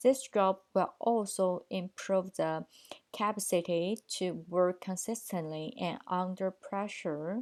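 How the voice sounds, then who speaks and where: A woman with a Chinese accent at a very slow pace, medium in pitch and fairly even in intonation, in a very clean recording with a silent background. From China. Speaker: translation student. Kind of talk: video presentation for a course. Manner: formal.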